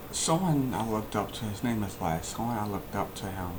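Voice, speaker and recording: Speaking at a fairly quick pace with an American accent, a man with a fairly low voice uses lively intonation amid noticeable background noise and audible room echo. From Kentucky (Louisville). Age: 20s. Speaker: vlogger. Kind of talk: personal life story monologue. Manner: halting.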